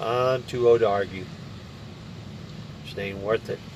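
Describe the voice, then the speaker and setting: A man with an American accent speaks at a fairly slow pace. His voice sits at a medium pitch. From West Virginia, Appalachia. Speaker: truck driver vlogger. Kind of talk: casual vlog monologue. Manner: halting, many fillers.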